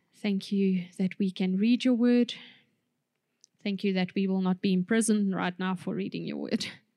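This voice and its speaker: The tone is dark and mellow, delivered at a moderate pace. The intonation stays monotone and flat. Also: woman, medium pitch for a woman. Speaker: preacher. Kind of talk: sermon. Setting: church.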